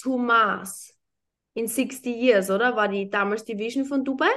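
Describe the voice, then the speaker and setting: A woman's high-pitched voice at a fairly slow pace, against a quiet background. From Austria, small town. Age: 30s. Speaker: entrepreneur and former pro golfer. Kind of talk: casual interview chat.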